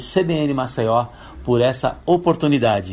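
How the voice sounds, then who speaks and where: The man's voice is somewhat breathy. His pitch is medium and varies in an ordinary way. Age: 50s. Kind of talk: prepared testimony. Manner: formal.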